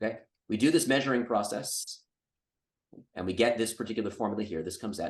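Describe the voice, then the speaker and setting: Speaking at a very fast pace, a man gets his words out. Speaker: physics lecturer. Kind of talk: Q&A after a lecture. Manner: hesitant, many fillers.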